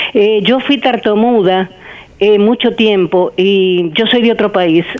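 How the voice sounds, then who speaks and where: At a very slow pace, a woman speaks at medium pitch with ordinary pitch variation and very even loudness. There is noticeable background noise. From Argentina, Buenos Aires. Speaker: caller. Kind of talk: testimony.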